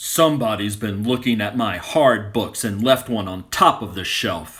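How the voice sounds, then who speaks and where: Doing a put-on character voice, a man growls at a moderate pace in a medium pitch with ordinary pitch variation and big swings in loudness. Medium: read story.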